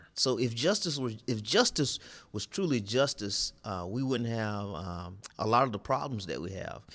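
A man with a Southern US accent, medium pitch, lively intonation and a moderate pace, on a very clean recording with a silent background. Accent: Southern US (Georgia). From US South, southeast Georgia. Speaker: pastor and retired army officer. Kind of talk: interview conversation.

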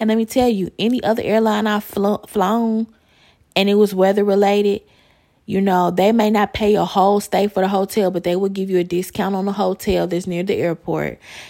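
A woman with an American accent, medium pitch, monotone, flat intonation and a fairly quick pace. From US Midwest, Chicago. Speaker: podcast host. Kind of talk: casual solo monologue.

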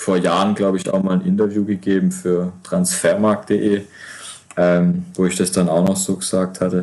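A man talks at a moderate pace with very even loudness. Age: 20s. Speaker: player-coach, former semi-pro footballer. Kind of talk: casual chat. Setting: remote call.

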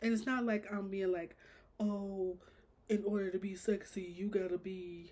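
At a moderate pace, a woman speaks with a dark, mellow tone at a medium pitch. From Chicago. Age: 20s. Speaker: podcast host. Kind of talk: casual monologue.

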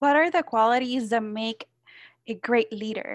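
Recorded very cleanly against a silent background, with a dry, close sound and no echo, a woman speaks in a Spanish accent at a fairly high pitch. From Puerto Rico. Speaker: podcast host. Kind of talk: interview.

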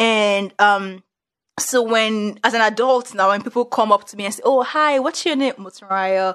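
With a Nigerian accent, a woman speaks at a moderate pace in a fairly high voice whose loudness swings widely, over a quiet background. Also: ordinary pitch variation. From Nigeria, Yoruba. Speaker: podcast host. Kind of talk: casual conversational chat.

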